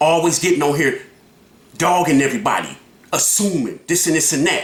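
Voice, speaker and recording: A high-pitched man at a fairly quick pace, with very even loudness, ordinary pitch variation and audible room echo. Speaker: YouTube reaction vlogger. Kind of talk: reaction commentary. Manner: animated.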